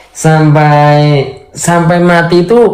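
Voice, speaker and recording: A man's shrill, fairly high voice at a fairly slow pace, with ordinary pitch variation. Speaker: talk show guest. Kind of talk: casual chat.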